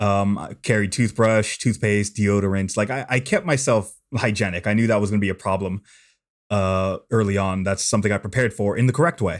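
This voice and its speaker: A man with an American accent and an unremarkable speaking voice talks at a fairly quick pace, his fairly low pitch showing ordinary variation, on a very clean recording with a silent background. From California. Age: 20s. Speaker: long-distance walker. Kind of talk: casual interview.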